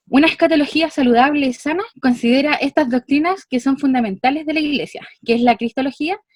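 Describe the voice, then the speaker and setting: A woman with a high pitch talks at a fairly quick pace with lively intonation. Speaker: church member giving study summary. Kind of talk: lecture. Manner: fast.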